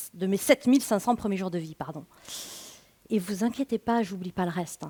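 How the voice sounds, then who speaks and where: A woman's fairly high voice in a regional French accent, with ordinary pitch variation. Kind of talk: stage talk. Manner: casual, conversational.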